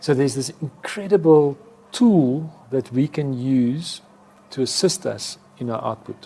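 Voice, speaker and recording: With a South African accent, a man talks at a fairly slow pace and fairly high pitch, with ordinary pitch variation. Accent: Afrikaans South African English. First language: Afrikaans. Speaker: advertising executive. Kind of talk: interview.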